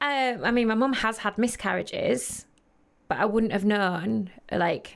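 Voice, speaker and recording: A woman talks in a plain, everyday voice at a medium pitch, with ordinary pitch variation and a fairly slow pace. The recording is very clean, with a silent background. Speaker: model and podcast presenter. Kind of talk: casual chat.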